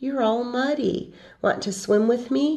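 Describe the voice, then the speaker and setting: A female-sounding put-on character voice, high-pitched, at a fairly slow pace. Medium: read story.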